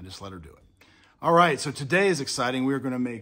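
A man speaking at a fairly quick pace over faint background music. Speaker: home cooking vlogger. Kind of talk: casual vlog chat. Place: home room. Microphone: phone near.

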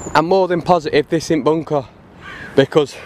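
Light background noise sits under a dry sound with no echo. A man speaks at a fairly quick pace. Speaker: explorer vlogger. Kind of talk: casual vlog chat. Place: forest. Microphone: phone near.

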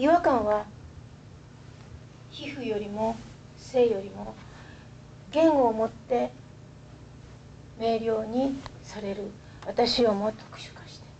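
Against light background noise, a woman with a fairly high pitch and a dark, mellow, somewhat breathy tone speaks very slowly, with long, frequent pauses and ordinary pitch variation. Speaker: poet. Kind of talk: poetry reading. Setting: live audience reading. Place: classroom. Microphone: camera far.

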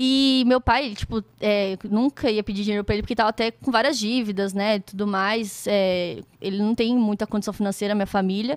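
Against a quiet background, a woman talks at a fairly quick pace with hardly any pauses, fairly even intonation, and a dry sound with no echo. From Brazil, Campinas. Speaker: beatboxer. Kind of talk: casual interview. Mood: relaxed, reflective. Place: studio. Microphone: studio mic.

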